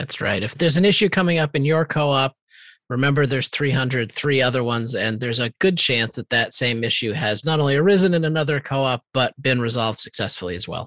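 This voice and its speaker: Recorded very cleanly against a silent background with a dry, close sound and no echo, a man speaks at a very fast pace at a medium pitch with ordinary pitch variation. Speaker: podcast co-host. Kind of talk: casual podcast chat, year-in-review.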